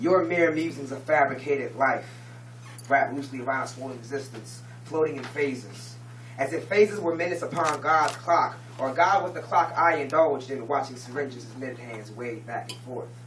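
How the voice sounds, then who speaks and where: Amid noticeable background noise, a man talks fairly quickly at a medium pitch with ordinary pitch variation. His loudness swings a lot. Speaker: slam poet. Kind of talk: poetry slam performance. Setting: live audience event.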